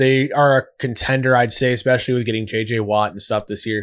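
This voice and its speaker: Against a silent background in a very clean recording, a man speaks at a moderate pace and medium pitch in an ordinary speaking voice. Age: 20s. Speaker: former semi-pro football player. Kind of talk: casual chat. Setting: studio.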